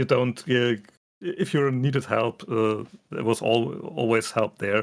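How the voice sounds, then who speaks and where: A man with a German accent speaks at a fairly slow pace, his medium-pitched voice showing ordinary pitch variation. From Germany. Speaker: furry fandom guest. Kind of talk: casual chat. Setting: livestream video call. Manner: halting.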